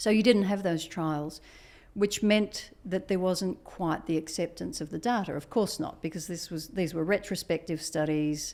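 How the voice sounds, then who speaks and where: In a very clean recording with a silent background, a woman with an Australian accent speaks at a moderate pace in a fairly low pitch with ordinary pitch variation. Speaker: biotech executive and physician. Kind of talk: interview.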